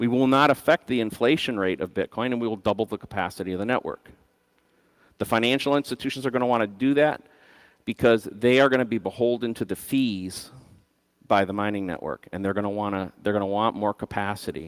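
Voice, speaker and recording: A man talks at a very fast pace in a medium pitch with ordinary variation, the sound dry and close with no echo in a very clean recording with a silent background. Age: 50s. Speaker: conference speaker, system designer. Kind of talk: conference talk.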